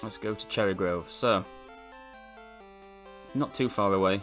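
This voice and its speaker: With music playing behind him, a man speaks fairly slowly at a fairly low pitch. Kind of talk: gameplay commentary. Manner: hesitant, filler-heavy.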